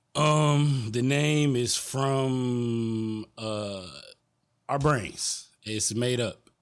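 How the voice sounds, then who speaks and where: With an American accent, a man speaks at a very slow pace. His pitch varies in an ordinary way, and room echo is audible. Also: medium pitch for a man. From Detroit. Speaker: artist. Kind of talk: casual chat. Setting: studio.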